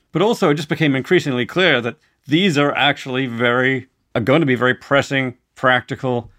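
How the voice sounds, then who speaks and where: At a fairly quick pace, a man speaks at a medium pitch in an ordinary speaking voice. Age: 50s. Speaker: philosopher. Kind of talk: interview conversation.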